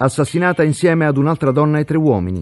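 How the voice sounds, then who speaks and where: Speaking at a fairly quick pace, a man uses a dramatic tone and a fairly high pitch. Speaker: true-crime narrator. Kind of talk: true-crime narration. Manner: suspenseful, grave; measured, dramatic.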